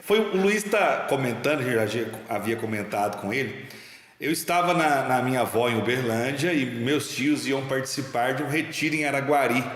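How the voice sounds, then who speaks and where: At a moderate pace and medium pitch, a man speaks with lively intonation, with audible room echo and noticeable background noise. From Minas Gerais, Brazil. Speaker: talk show host. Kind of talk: casual interview chat.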